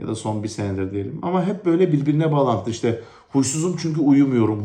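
In a room with audible echo, a man with a dark, mellow, somewhat breathy voice talks at a fairly quick pace with lively intonation and hardly any pauses. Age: 30s. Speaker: vlogger, thyroid cancer patient. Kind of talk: personal testimony vlog.

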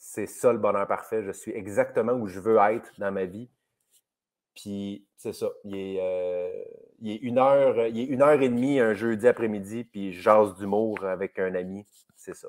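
Against a quiet background, a man with a Quebec accent speaks at a fairly slow pace with a fairly low pitch and fairly even intonation. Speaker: comedian. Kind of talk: casual chat. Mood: reflective, warm. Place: home room. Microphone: video call.

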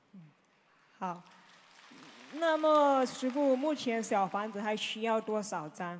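With a fairly high voice and lively intonation, a woman speaks very slowly, taking long, frequent pauses over light background noise. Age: 20s. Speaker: follower asking questions; audience member. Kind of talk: Q&A with spiritual teacher. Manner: halting. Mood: respectful, earnest. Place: hall. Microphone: handheld.

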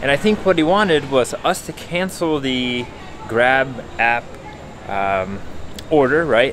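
A man talks at a fairly slow pace. Light background noise sits behind him. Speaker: travel vlogger. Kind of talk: casual vlog chat. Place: station. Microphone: phone near.

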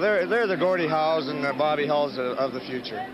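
Against noticeable background noise, a man talks at a very fast pace and fairly high pitch with ordinary pitch variation. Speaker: professional hockey defenseman. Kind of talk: intermission interview. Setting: arena rinkside interview. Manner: halting, many uh fillers.

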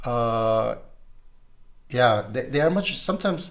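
This male speaker's intonation is lively. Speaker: communication trainer and assessor. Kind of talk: casual conversation. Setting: video call. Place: home room.

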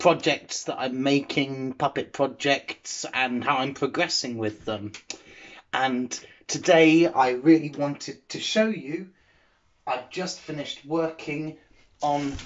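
Speaking very slowly, a man varies his pitch in an ordinary way. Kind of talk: casual vlog chat. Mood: cheerful, pleased. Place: workshop. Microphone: phone near.

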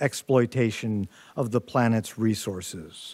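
The man talks fairly slowly, and the background is quiet. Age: 60s. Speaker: university center director, moderator. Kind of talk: panel discussion moderation. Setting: stage with in-person audience. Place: hall. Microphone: podium.

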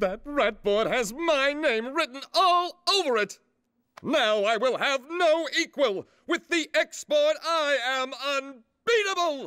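In a put-on character voice pitched high, the speaker talks at a fairly slow pace. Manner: brash, boastful.

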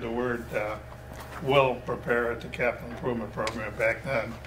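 A man is talking, and background noise can be noticed throughout. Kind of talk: meeting chairing and explanation. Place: meeting room.

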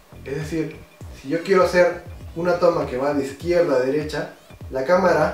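Faint music plays behind a man speaking at a moderate pace with audible room echo. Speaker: product reviewer. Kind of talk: tutorial. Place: home room.

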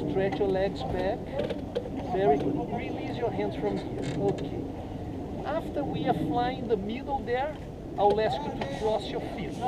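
Someone talks at a fairly slow pace over loud background noise. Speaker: hang gliding instructor pilot. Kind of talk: safety briefing instructions. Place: open country.

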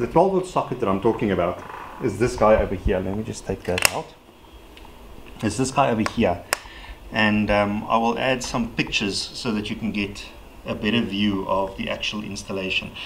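A man speaks at a moderate pace in a fairly low voice with ordinary pitch variation. He leaves long, frequent pauses over noticeable background noise. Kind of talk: casual how-to vlog explanation. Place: garage.

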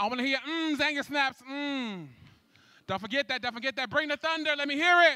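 Bright and sharp in tone, a man speaks in a raised, projected voice at an extremely high pitch and a fairly quick pace. His delivery is animated with ordinary pitch variation, and the sound is dry with no echo against a quiet background. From San Francisco Bay Area. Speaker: event MC. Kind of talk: live event hosting. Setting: stage with audience. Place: hall. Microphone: handheld.

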